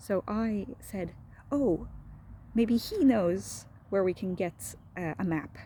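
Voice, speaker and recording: A woman talks very slowly in a dark, mellow tone with vocal fry and ordinary pitch variation. Long, frequent pauses break up her speech. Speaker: medical resident doctor. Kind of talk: casual talk to camera. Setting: outdoors. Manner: soft-spoken, low voice.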